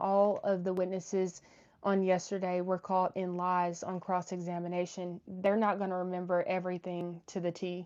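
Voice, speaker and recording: A woman speaks with an American accent at medium pitch and a moderate pace. Her intonation is monotone and flat against a quiet background. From Oklahoma. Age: 20s. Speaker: YouTube commentator on trial. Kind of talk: livestream chat, reading super chats. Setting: live stream.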